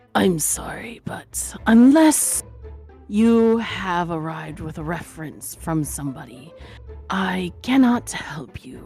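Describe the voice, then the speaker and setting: A put-on character voice at a middle pitch and a fairly slow pace, with faint music in the background. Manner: curt, refusing.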